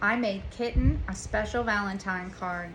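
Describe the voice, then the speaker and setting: A woman puts on a character voice at a medium pitch. She speaks at a moderate pace with clear background noise. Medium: read story.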